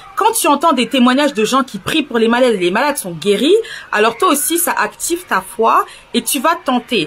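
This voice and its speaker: An animated tone at a moderate pace, with noticeable background noise. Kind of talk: religious testimony vlog.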